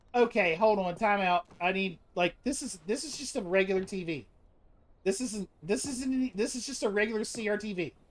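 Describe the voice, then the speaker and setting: A woman at a medium pitch, fairly quick in pace, with ordinary pitch variation. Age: 40s. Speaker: gaming streamer. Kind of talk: live game stream commentary. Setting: live stream. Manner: animated.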